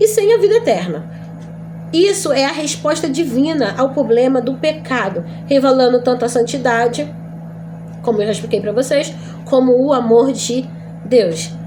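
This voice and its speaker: With very wide pitch swings and long, frequent pauses, a woman speaks at a high pitch over noticeable background noise and audible room echo. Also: moderate pace. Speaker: Bible teacher. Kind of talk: lecture.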